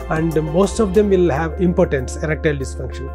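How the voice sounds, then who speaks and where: Fairly quick male speech over clear background music. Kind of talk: interview answer. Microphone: lapel.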